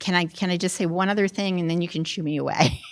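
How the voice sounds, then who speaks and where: The woman's pitch is fairly low. She keeps a fairly even intonation on a very clean recording with a silent background. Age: 60s. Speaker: resident speaking at public comment. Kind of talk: public comment at town meeting. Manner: halting.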